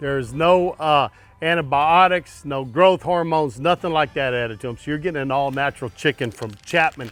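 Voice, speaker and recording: Speaking at a fairly quick pace with hardly any pauses, a man with a Texan accent uses a fairly high pitch and ordinary pitch variation. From Texas. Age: 60s. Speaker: barbecue cook. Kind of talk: cooking tutorial. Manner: casual.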